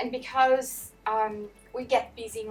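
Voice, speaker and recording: Over music in the background, a woman talks with monotone, flat intonation. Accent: non-native. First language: not English. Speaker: manager. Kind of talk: interview.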